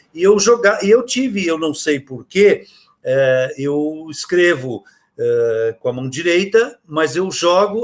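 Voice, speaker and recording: A man's high-pitched voice rises and falls in very wide swings. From interior of São Paulo state, Brazil. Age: 70s. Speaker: children's author. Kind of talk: interview conversation. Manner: halting, many fillers.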